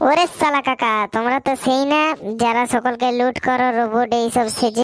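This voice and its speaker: A woman puts on a cartoonish character voice at a high pitch and a moderate pace. Her intonation is fairly even and her loudness very even. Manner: brash, casual.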